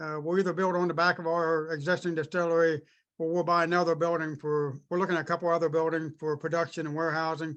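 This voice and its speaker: Against a quiet background, a high-pitched man talks at a very fast pace in a monotone, flat delivery. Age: 50s. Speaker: distillery owner. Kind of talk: podcast interview. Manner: hesitant, many fillers.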